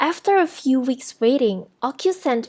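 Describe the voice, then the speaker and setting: A woman talks at a moderate speed in a very clean recording where the background is silent. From Indonesia. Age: 20s. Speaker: university student. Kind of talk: scripted narration. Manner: formal.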